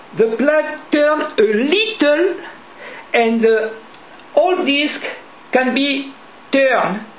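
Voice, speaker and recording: Speaking very slowly with long, frequent pauses, a woman with a strong French accent uses a high pitch and lively intonation at very even loudness, with audible room echo around her. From France. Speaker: lock-picking hobbyist. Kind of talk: tutorial. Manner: halting.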